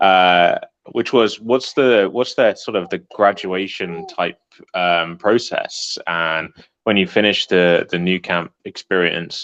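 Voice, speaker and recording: Speaking very slowly, a man with an English accent has a fairly low pitch and fairly even intonation. The sound is dry and close, with no echo. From England. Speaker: prospective student. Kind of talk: Q&A question. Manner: halting.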